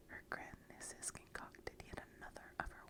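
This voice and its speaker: Whispered words come fairly slowly amid noticeable background noise. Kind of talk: read-aloud story for relaxation.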